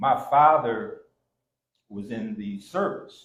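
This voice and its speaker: A man with an American accent speaks in a fairly high pitch and a somewhat breathy voice, and his pitch swings very widely. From Kansas, US. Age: 70s. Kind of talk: personal storytelling in panel discussion. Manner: halting.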